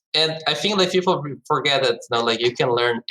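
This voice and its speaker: In a Portuguese accent, the voice comes through in a dry, close recording with no echo. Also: man. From Brazil. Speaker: esports startup co-founder. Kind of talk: podcast interview. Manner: frequent fillers, hesitant.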